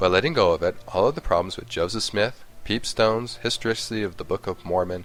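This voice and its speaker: Music plays in the background. The pace is fairly quick, with ordinary pitch variation. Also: man. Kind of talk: scripted commentary narration.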